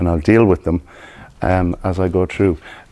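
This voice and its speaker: With an Irish accent, a man speaks in a very deep, low voice. His tone is dark and mellow. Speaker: hypnotherapist. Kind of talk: presentation. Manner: deliberately slowed.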